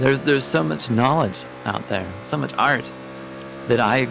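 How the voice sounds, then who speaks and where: Speaking at a moderate pace with an American accent, this voice comes through noticeable background noise and audible room echo. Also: man. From US Pacific Northwest (Oregon). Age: 30s. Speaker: sim racing teammate. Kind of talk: casual chat. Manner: halting, many fillers and repeats.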